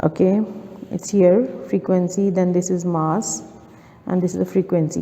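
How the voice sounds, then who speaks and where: Noticeable background noise runs under the recording. A woman speaks with ordinary pitch variation. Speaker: maths tutor. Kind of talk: tutorial. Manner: slow.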